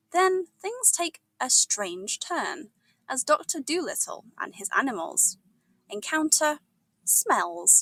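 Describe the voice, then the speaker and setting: A woman speaks very slowly with a British accent in an upbeat, warm tone. The sound is dry and close, with no echo. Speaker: English teacher. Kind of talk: episode intro to ESL learners.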